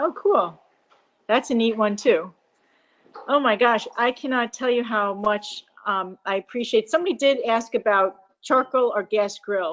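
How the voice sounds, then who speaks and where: A woman talks at a fairly slow pace. Her voice is fairly high, with ordinary pitch variation. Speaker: team manager hosting meeting. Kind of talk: casual meeting chat. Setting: video call. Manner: enthusiastic.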